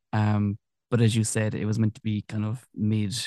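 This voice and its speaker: With a Kerry accent, a man speaks at a medium pitch in a dark, mellow tone, his voice dry and close with no echo against a quiet background. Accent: Kerry Irish. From Ireland, Tralee, County Kerry. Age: 30s. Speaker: continuity announcer. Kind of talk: interview.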